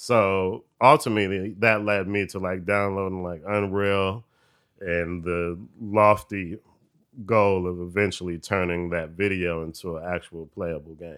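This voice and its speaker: This man has a very deep, low pitch and an American accent. He talks at a fairly slow pace with fairly even intonation but big swings in loudness. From Detroit. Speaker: rapper and producer. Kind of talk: casual interview chat. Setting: office recording.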